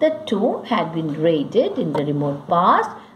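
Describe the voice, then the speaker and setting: A woman speaks at a fairly low pitch. Audible room echo and noticeable background noise surround her voice. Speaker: school English teacher. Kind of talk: lecture. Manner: slow, dictating pace.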